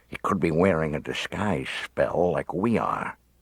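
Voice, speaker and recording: Putting on a character voice, a man drawls at a moderate pace in a very deep, low pitch. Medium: read story. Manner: drawling, sarcastic.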